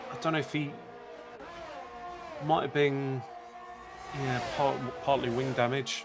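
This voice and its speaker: A man's fairly high voice at a fairly slow pace, with ordinary pitch variation, long, frequent pauses, audible room echo, and music in the background. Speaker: sim racing co-commentator. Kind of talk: live commentary. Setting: live stream.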